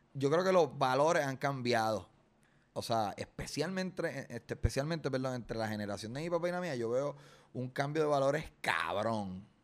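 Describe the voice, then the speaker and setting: A man of medium pitch speaks in an ordinary speaking voice at a moderate pace with lively intonation. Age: 30s. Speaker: comedian. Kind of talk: casual interview. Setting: studio.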